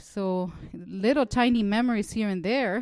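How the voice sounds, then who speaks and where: On a very clean recording with a silent background, a woman speaks in a fairly high pitch with a Spanish accent. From El Salvador. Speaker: social worker.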